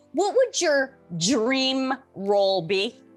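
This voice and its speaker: Background music accompanies a woman as she talks. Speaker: news anchor. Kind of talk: interview questions.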